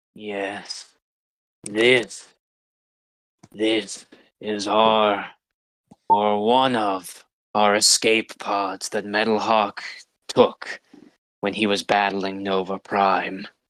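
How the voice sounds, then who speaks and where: In a put-on character voice, a man speaks at a very slow pace with a fairly low pitch and monotone, flat intonation. Long, frequent pauses break up the dry, close sound with no echo. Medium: actual play.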